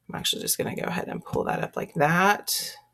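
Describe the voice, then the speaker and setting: Recorded very cleanly with a silent background, a woman talks with a slight Texan accent. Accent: Texas accent, slight. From Texas. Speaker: teacher or school librarian. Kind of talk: screencast tutorial. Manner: casual, conversational.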